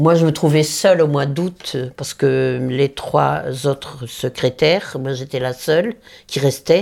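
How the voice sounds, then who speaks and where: Her voice is very deep and low. A woman speaks with vocal fry. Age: 90s. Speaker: elderly interviewee. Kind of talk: interview. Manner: halting.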